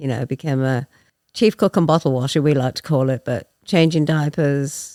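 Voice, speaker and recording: A woman speaks with an English accent. The recording is very clean and dry, with a silent background and a close sound with no echo. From England. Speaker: guest in recovery. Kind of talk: personal testimony.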